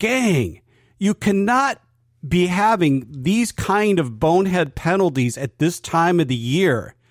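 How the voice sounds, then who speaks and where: The man's high-pitched voice moves at a very slow pace with very wide pitch swings. His loudness stays very even in a very clean recording with a silent background. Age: 60s. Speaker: sports podcast co-host. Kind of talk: casual sports chat. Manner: animated.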